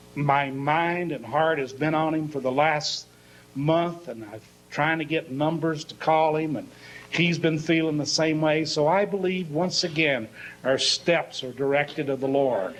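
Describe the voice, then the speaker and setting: Audible room echo surrounds a man with a fairly high pitch. He speaks at a fairly slow pace with fairly even intonation. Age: 60s. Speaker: pastor. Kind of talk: sermon.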